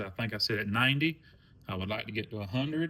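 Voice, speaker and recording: A relaxed man with an American accent speaks at medium pitch in a bright, sharp tone with ordinary pitch variation. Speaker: coin collecting YouTuber. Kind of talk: casual vlog monologue. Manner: relaxed, rambling.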